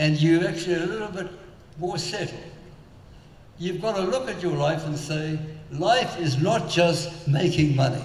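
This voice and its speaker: In a room with audible echo and noticeable background noise, a man with a high pitch talks at a fairly slow pace. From South Africa. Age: 90s. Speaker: entrepreneur and philanthropist. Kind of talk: on-stage interview. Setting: stage with audience.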